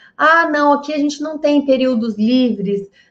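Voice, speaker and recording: A woman talks. Her intonation is lively. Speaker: health business consultant. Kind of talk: live online class. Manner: animated.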